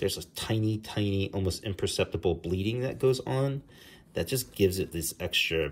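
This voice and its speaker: A man with an American accent, somewhat breathy, at a fairly quick pace with ordinary pitch variation. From New Jersey. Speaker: comic book artist. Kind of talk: tutorial. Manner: casual, with frequent fillers. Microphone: phone near.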